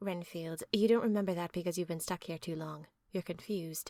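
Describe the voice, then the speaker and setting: Someone performs a put-on character voice at a fairly quick pace. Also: woman, fairly low pitch for a woman. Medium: read story. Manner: calm, kind.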